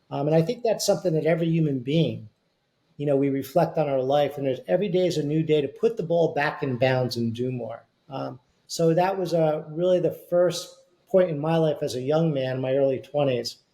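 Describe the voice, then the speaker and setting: A man with a fairly high pitch and a dark, mellow tone talks at a fairly quick pace, sounding somewhat breathy, with ordinary pitch variation. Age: 60s. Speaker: company CEO and author. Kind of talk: interview.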